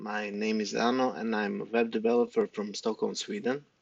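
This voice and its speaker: Speaking in a medium pitch with a non-native accent, a man keeps a moderate pace and a fairly even intonation. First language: not English. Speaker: web developer. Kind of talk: tutorial. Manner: halting, many fillers.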